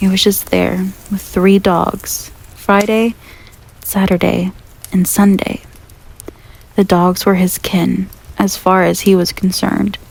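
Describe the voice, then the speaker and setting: Soft-spoken and at a fairly slow pace, a woman with a medium pitch speaks in monotone, flat intonation amid noticeable background noise. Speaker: ASMR roleplay performer. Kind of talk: bedtime story reading.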